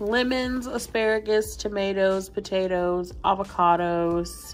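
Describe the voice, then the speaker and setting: A woman speaking at a very slow pace over background music. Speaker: vlogger. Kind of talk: casual vlog chat. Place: home room. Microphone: phone near.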